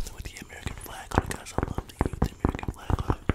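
Whispering is all this man does. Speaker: vlogger. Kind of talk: casual vlog chat. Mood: upbeat, relaxed. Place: home room. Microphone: studio mic.

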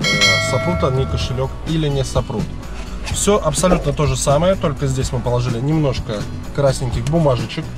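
A man is speaking, with clear music playing behind him. The sound is dry, with no echo. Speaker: taxi driver vlogger. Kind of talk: casual vlog chat. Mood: annoyed, disapproving. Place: car. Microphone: phone near.

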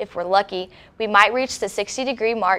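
A woman uses a normal speaking voice, pitched fairly high, with fairly even intonation. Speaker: news anchor. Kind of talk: studio newscast read from a script, with a weather forecast. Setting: studio. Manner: polished, even and formal, in a broadcast delivery.

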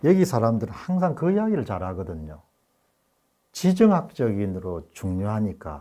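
Over a quiet background, a man with fairly low pitch and a dark, mellow tone speaks at a moderate pace with very wide pitch swings. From South Korea. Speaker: political commentary YouTuber. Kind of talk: interview. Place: studio. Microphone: lapel.

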